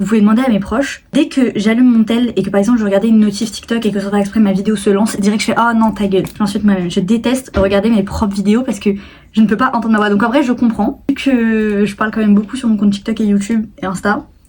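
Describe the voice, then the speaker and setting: A woman's fairly high voice at a very fast pace, with hardly any pauses. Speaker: YouTuber and TikTok creator. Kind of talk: casual vlog talk to camera. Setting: filming at home on tripod. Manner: chatty, many fillers.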